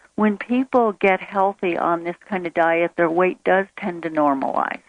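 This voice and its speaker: A woman's medium-pitched voice, an ordinary speaking voice, with ordinary pitch variation at a fairly slow pace. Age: 50s. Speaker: nutrition expert. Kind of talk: interview. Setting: phone call.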